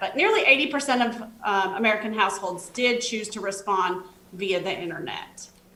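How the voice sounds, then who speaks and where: A woman speaks with a fairly high pitch and fairly even intonation. Audible room echo and noticeable background noise are present. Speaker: government outreach specialist. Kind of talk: presentation.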